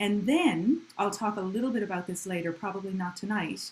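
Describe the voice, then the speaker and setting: The woman's voice carries some breathiness. She talks at a moderate speed. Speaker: music teacher. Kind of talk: online community music lesson.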